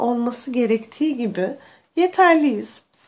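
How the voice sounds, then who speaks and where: Here a woman speaks at a high pitch. Her intonation is lively. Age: 20s. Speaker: podcast host. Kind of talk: personal monologue.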